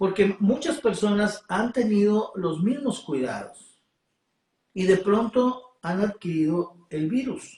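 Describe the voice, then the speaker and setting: At a very slow pace, a man speaks with a high pitch and lively intonation. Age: 70s. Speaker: preacher. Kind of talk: sermon. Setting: online livestream. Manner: halting.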